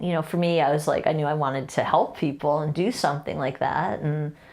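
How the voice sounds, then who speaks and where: A woman speaks at a moderate pace with a very deep, low pitch. Vocal fry runs through her voice. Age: 60s. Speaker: lawyer and guest parent on family podcast. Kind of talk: casual interview chat.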